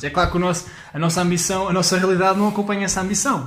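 Fairly quick speech from a man, with music in the background and audible room echo. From Portugal, Leiria. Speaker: stand-up comedian. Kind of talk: casual chat. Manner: halting.

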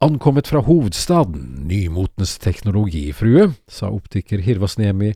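A natural voice, reading aloud

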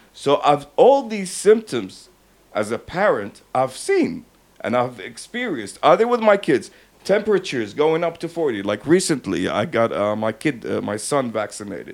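With an American accent, a man with a fairly high pitch talks at a moderate pace, showing vocal fry and very wide pitch swings. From Texas. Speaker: podcast host. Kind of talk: casual chat. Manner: animated.

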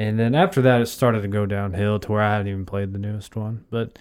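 A man talks at a fairly quick pace and medium pitch in an unremarkable speaking voice. The recording is very clean, with a silent background. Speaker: podcast co-host. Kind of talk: casual chat.

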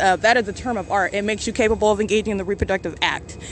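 A woman's flat, monotone delivery comes through over noticeable background noise. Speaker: podcaster documenting alleged stalking. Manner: angry, accusatory.

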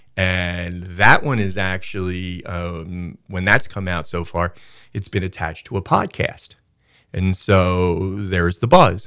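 A very clean recording with a silent background captures a man with a very deep, low pitch and a bright, sharp tone speaking at a fairly slow pace in monotone, flat intonation. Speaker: guest, football and local sports talker. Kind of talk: casual radio interview. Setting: radio studio.

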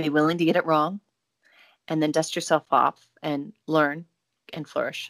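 A woman with an American accent speaks at a very deep, low pitch in a monotone, flat intonation, at a moderate pace with long, frequent pauses. The sound is dry and close with no echo, in a very clean recording with a silent background. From United States. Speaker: singer-songwriter and actress. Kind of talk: interview.

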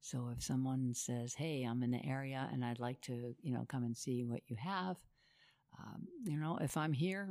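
Her pitch very deep and low, a woman speaks at a moderate pace with lively intonation. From New England (Rhode Island). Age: 70s. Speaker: painter. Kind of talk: casual interview conversation. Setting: in person at her home studio. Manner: candid, outspoken.

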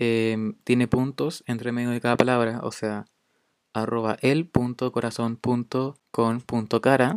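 Fairly slow, monotone man with flat intonation and a Chilean accent. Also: medium pitch for a man. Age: young. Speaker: podcast host. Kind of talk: casual monologue. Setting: home recording during quarantine. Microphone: poor sound quality.

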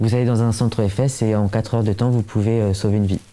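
Medium in pitch, this man's voice has a dark, mellow tone. He speaks fairly quickly in a flat monotone. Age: young. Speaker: bone marrow transplant recipient and awareness campaigner. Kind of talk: casual interview.

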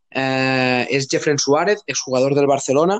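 A man's plain, everyday voice at a medium pitch and fairly slow pace, with ordinary pitch variation, in a dry, close sound with no echo. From Catalonia, Spain (Tarragona province). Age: 30s. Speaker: youth football coach. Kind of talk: casual interview.

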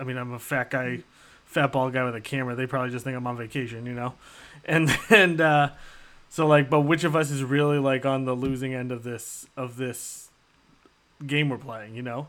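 In a very clean recording with a silent background, a man with a normal speaking voice talks at a moderate pace and medium pitch, his intonation fairly even. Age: 30s. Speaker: podcast host. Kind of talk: casual chat. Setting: live stream.

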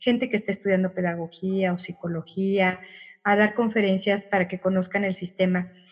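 A somewhat breathy woman's voice. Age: 50s. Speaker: Montessori guide and psychotherapist. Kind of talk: casual interview.

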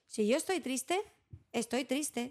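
Lively, high-pitched female speech at a moderate pace. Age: 40s. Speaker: psychologist and early childhood educator. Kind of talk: interview.

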